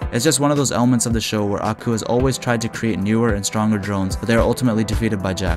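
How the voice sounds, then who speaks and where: With music in the background, a man at a medium pitch talks at a very fast pace with hardly any pauses. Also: ordinary pitch variation. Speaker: video reviewer. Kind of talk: scripted narration.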